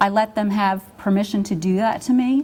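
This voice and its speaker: A woman's voice sits at a fairly high pitch. She talks at a moderate pace. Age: 60s. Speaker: retired nurse and speaker. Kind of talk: testimony. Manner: halting.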